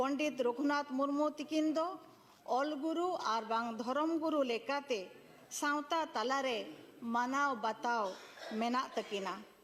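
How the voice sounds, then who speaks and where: A woman with a Jharkhand accent speaks in a high pitch with ordinary pitch variation and very even loudness. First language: Santali (speaking Hindi). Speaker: politician, member of parliament. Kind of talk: parliamentary speech. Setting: parliament chamber. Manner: formal.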